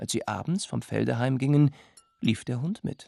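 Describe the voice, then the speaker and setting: Recorded with a dry, close sound and no echo, a man at a medium pitch speaks fairly slowly with lively intonation. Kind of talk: fairy tale telling. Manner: storyteller's voice with animated character voices.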